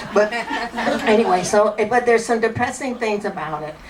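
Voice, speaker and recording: At a moderate pace, a woman with a medium pitch speaks over noticeable background noise and audible room echo. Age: 60s. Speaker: stand-up comedian. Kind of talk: stand-up. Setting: stage with audience. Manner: halting.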